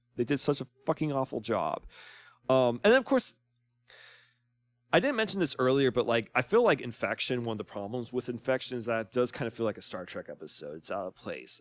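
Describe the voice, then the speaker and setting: A man talks at a fairly quick pace, his loudness swinging widely, in a dry, close recording with no echo. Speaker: YouTuber and musician. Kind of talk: casual commentary monologue. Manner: hesitant, many fillers.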